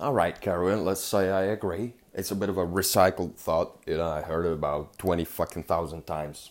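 The speech moves at a fairly quick pace with hardly any pauses. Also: man, very deep, low pitch for a man. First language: not English. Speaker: podcast host. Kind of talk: solo monologue podcast. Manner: animated.

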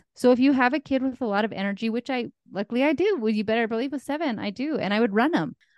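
In a dry, close sound with no echo, a woman speaks at a very fast pace and a high pitch. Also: quiet background. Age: 40s. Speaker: life coach. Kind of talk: interview.

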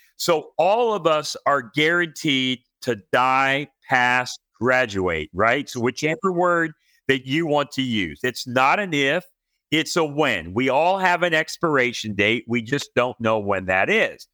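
A man's medium-pitched voice, animated and bright, sharp in tone, with lively intonation and a fairly slow pace, the sound dry and close with no echo in a very clean recording over a silent background. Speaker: financial educator, former chiropractor. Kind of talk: interview.

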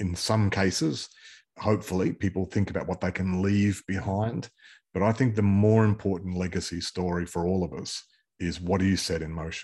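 With an Australian accent, a man speaks at a moderate pace in a very deep, low voice. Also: fairly even intonation, very clean recording, silent background. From Queensland, Australia. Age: 50s. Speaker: pastor and business owner. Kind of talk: interview.

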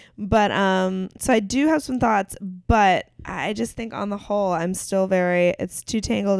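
With a plain, everyday voice, a woman with an American accent speaks at a fairly slow pace and medium pitch, showing ordinary pitch variation and hardly any pauses in a very clean recording with a silent background. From western Pennsylvania (Clarion). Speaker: podcast co-host. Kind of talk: casual chat. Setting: recording at co-host's home.

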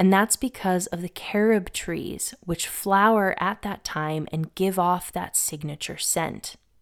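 With a plain, everyday voice and an American accent, a woman speaks at a fairly slow pace and medium pitch with ordinary pitch variation and hardly any pauses, on a very clean recording with a silent background. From Massachusetts, Northeast US. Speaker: podcast host on mythology and herbalism. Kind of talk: scripted narration.

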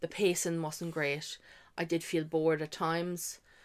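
Spoken with an Irish accent, this is a very clean recording with a silent background. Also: woman. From Ireland. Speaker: podcast co-host. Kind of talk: casual chat.

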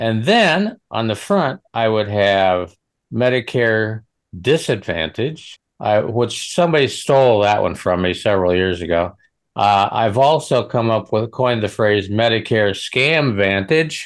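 In a quiet background, a man with an ordinary speaking voice and an American accent talks at a fairly slow pace with very even loudness, his medium pitch moving in lively intonation. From Western Nebraska. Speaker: co-host, regular chat partner. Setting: video call.

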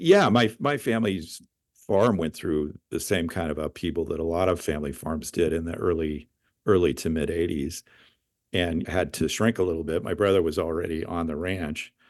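Against a quiet background, a man talks with a very deep, low pitch. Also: ordinary pitch variation, moderate pace. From US, California Central Valley (Madera County). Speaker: wine industry executive. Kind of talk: interview. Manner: articulate.

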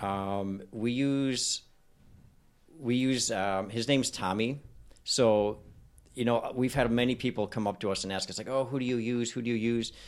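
A man with an ordinary speaking voice and a medium pitch talks at a moderate pace with fairly even intonation in a very clean recording with a silent background. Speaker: dentist. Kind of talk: casual chat.

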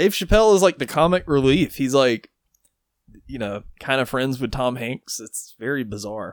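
A man with an ordinary speaking voice at medium pitch and a moderate pace, lively intonation, big swings in loudness, and a dry, close sound with no echo. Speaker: podcast co-host. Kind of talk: casual chat.

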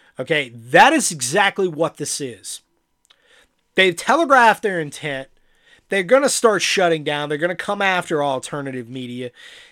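An angry man speaks at a moderate pace in a high, bright, sharp voice with very wide pitch swings, captured on a very clean recording with a silent background. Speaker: podcast host. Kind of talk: angry political rant. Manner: angry, sarcastic, heated.

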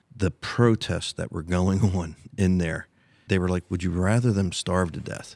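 In a very clean recording with a silent background and a dry, close sound with no echo, a man with an American accent speaks at a moderate pace in a very deep, low pitch with fairly even intonation. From US Northeast, Delaware County, Pennsylvania. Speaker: rodeo arena owner. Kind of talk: casual chat.

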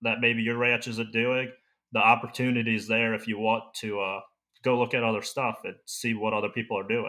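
A man with a plain, everyday voice, an American accent, medium pitch and a moderate pace. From Maryland, US. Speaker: ranch apprentice. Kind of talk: casual interview. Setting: remote call.

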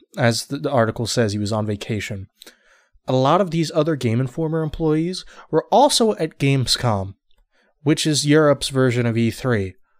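A man speaks in a plain, everyday voice at a moderate pace. His pitch is fairly high, and his intonation is lively. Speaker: podcast co-host. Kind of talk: casual chat.

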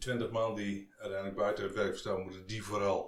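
Audible room echo sits alongside noticeable background noise. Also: man. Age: 50s. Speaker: podcast host, business adviser. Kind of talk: interview. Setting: guest's office.

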